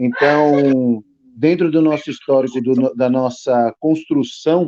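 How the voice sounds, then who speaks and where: A man speaks at a very slow pace. His tone is dark and mellow, and his intonation fairly even. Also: fairly high pitch for a man, very even loudness. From Brazilian Northeast, Petrolina, Pernambuco. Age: 40s. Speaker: graphic designer, illustrator and writer. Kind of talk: podcast interview. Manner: halting, many fillers.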